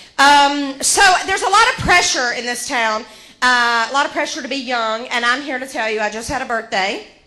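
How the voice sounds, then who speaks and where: Projecting over noticeable background noise and audible room echo, a woman with an American accent and a high voice speaks at a moderate pace in an animated tone with ordinary pitch variation. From Georgia, US South. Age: 40s. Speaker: comedian. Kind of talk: stand-up. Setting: stage with audience.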